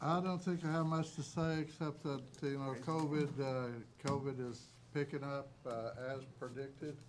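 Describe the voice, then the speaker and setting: Speech comes at a fairly slow pace with fairly even intonation, and there is audible room echo. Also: man. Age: 70s. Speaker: city council member. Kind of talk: council meeting remarks. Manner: halting.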